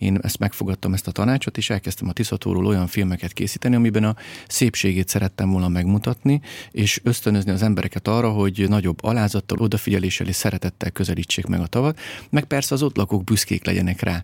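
On a very clean recording with a silent background and a dry, close sound with no echo, a man with a fairly low pitch speaks at a very fast pace and very even loudness. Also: ordinary pitch variation. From Hungary, Great Plain near the Tisza. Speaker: documentary filmmaker and environmental activist. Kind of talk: interview.

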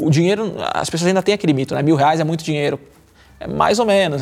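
This high-pitched man has lively intonation. He talks at a very fast pace. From Brazil, São Paulo. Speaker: marketing executive and lifestyle influencer. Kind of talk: casual chat. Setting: studio.

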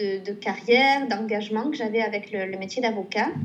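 A somewhat breathy woman's voice at a fairly high pitch and a moderate pace, with audible room echo. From southwestern France, Pau. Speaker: painter and illustrator. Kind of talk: casual interview. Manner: hesitant with repetitions.

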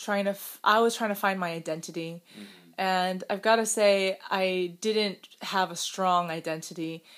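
A woman in a General American accent, medium-pitched and fairly slow, with fairly even intonation, on a very clean recording, silent background. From US, Chinese-Taiwanese immigrant family. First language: Mandarin. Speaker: YouTuber and podcast co-host. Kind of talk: casual conversational podcast.

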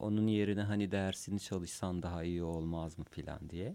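Speaking fairly slowly with a Kurdish accent, a man with a very deep, low pitch and ordinary pitch variation is heard on a very clean recording with a silent background. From Cizre, southeastern Turkey. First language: Kurdish (speaking Turkish). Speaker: musician and school counselor. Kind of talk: casual chat. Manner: halting.

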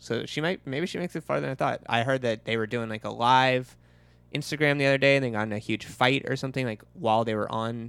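Heard on a very clean recording with a silent background is an ordinary speaking voice. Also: man. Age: 30s. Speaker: podcast co-host. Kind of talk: casual chat.

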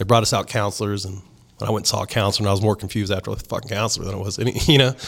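On a very clean recording with a silent background, a man with a Southern US accent and a fairly low pitch speaks at a very fast pace. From South Texas. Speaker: country music DJ. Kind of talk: casual chat.

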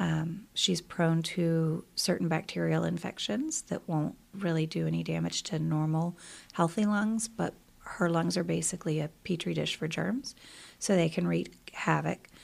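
A woman speaks at a fairly slow pace with a Southern US accent, on a very clean recording with a silent background. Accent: Southern US, milder than her husband's. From US South, Columbia, South Carolina. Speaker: high school English teacher. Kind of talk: casual interview. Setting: studio basement.

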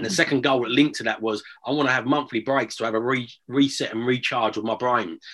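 A man with an Essex accent, at a medium pitch and fairly even intonation, at a very fast pace with hardly any pauses. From Essex, England. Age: 40s. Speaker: property investor. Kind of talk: casual interview.

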